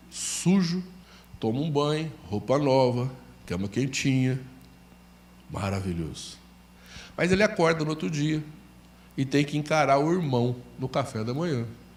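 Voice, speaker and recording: Somewhat breathy and fairly high-pitched, a man talks at a fairly slow pace with lively intonation and long, frequent pauses, in audible room echo. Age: 60s. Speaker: pastor. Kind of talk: sermon.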